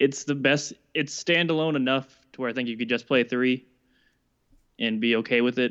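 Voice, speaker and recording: Speaking at a fairly quick pace, a man with an ordinary speaking voice keeps a medium pitch and fairly even intonation. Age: 20s. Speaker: podcast co-host. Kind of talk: casual chat.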